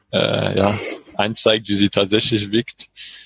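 A man with a French accent speaks at a fairly low pitch and a fairly slow pace. The sound is dry and close, with no echo. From France, French Alps near Grenoble. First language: French (speaking German). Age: 30s. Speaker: engineer and cycling traveler. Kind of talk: interview. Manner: halting, many fillers.

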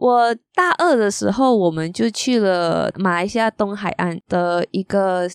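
A woman's medium-pitched voice with lively intonation and a Malaysian accent, in a very clean recording with a silent background and a dry, close sound with no echo. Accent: Malaysian Chinese Mandarin. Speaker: architecture magazine editor. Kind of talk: casual interview chat.

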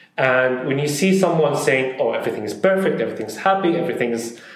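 A man speaks in a fairly high pitch. Audible room echo surrounds his voice. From Saudi Arabia (Syrian family). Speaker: food influencer and creative director. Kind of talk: casual interview. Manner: hesitant with fillers.

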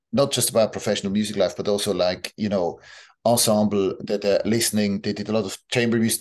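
Against a quiet background, a man with a Swiss German accent talks in a medium pitch with ordinary pitch variation. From Switzerland, village outside Basel. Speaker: orchestra conductor. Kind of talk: interview conversation. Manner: halting, many fillers.

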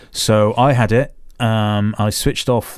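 Fairly even intonation in a plain, everyday voice. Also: man, very clean recording, silent background. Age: 50s. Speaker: photographer and podcast host. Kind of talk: casual chat.

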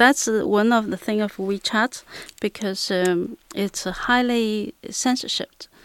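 A woman's fairly high voice in a Chinese accent, very slow, with fairly even intonation and a dry, close sound with no echo. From Shanghai, China. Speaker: app user. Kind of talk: casual chat.

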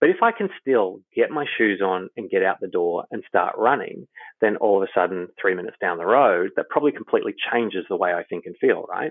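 The speaker, a man, moves at a fairly quick pace. He talks in an Australian accent. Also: hardly any pauses. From Australia, Queensland. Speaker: human performance consultant. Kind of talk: interview.

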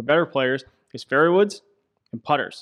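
The man's voice comes through a very clean recording with a silent background, dry and close with no echo. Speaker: club fitting expert. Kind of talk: casual interview.

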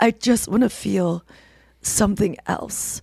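A woman's raspy put-on character voice, medium in pitch, at a fairly slow pace. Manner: raw, wanting.

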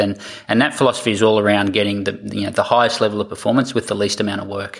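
A man's fairly low voice with an Australian accent, at a very fast pace. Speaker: triathlon coach. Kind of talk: interview.

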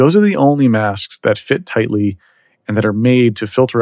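A man with an American accent talks at a moderate pace, with ordinary pitch variation and an unremarkable speaking voice. The recording is very clean and silent in the background, with a dry, close sound and no echo. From Texas, Dallas. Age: 30s. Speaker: bitcoin entrepreneur. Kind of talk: podcast interview.

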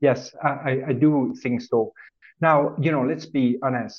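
A man with a Swiss French accent at a fairly slow pace, with ordinary pitch variation. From French-speaking Switzerland. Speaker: corporate treasurer. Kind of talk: podcast interview.

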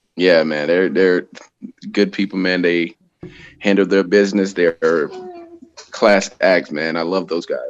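With an American accent, a man speaks at a very deep, low pitch in a flat monotone, fairly slowly, with long, frequent pauses. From Florida (Tampa). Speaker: professional wrestler. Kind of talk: casual chat.

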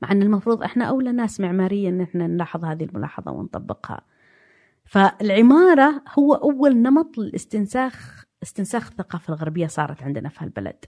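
Over a quiet background, a woman talks at a fairly quick pace and medium pitch with very wide pitch swings. The sound is dry and close with no echo. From Saudi Arabia, Najd (Riyadh/Diriyah). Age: 50s. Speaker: art historian. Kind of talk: casual chat.

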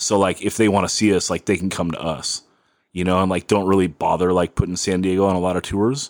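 This is a very clean recording with a silent background. A man speaks very fast in a very deep, low pitch. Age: 40s. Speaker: podcast host. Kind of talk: casual chat. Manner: animated.

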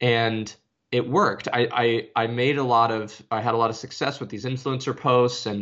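Using an American accent, a man speaks in an ordinary speaking voice at medium pitch and a moderate pace. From Arizona, US. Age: 30s. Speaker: social media consultant. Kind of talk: interview.

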